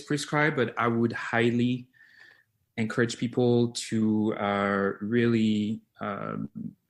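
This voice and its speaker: A man with a French accent speaks very slowly at a medium pitch. The recording is very clean, with a silent background. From France, Lyon. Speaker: physical therapist. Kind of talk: interview. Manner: halting, many fillers.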